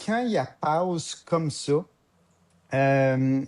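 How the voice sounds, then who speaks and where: A man with a Quebec accent speaks in a dark, mellow tone. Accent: Québécois French. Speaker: podcast co-host. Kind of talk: casual podcast discussion. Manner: hesitant, many fillers.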